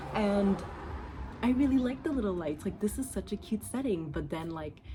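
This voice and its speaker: A woman's dark, mellow voice with vocal fry, very wide pitch swings and a moderate pace. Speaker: video diary vlogger. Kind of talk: casual monologue. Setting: outdoors on a porch. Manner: halting.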